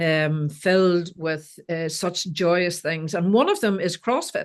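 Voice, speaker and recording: Speaking very slowly in an Irish accent, a woman has a fairly low pitch and ordinary pitch variation over a quiet background. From Ireland. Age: 60s. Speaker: life coach. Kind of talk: casual interview chat.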